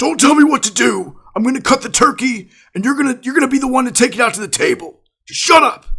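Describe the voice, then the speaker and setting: A put-on character voice, gruff and high-pitched, at a very fast pace. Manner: angry, curt.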